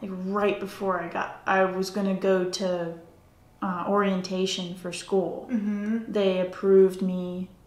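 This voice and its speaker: Against noticeable background noise, a woman of medium pitch speaks at a fairly slow pace in a monotone, flat intonation. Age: 30s. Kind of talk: interview answer.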